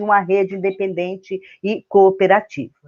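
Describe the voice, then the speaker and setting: A woman at a moderate pace. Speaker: university professor. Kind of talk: lecture. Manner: hesitant, many filler words.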